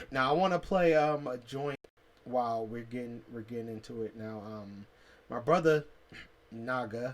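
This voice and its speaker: The man has a medium pitch and ordinary pitch variation. His pace is moderate. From Detroit, Michigan, US Midwest. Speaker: self-styled spiritual teacher, video blogger. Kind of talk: casual monologue. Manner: halting, many fillers and repeats.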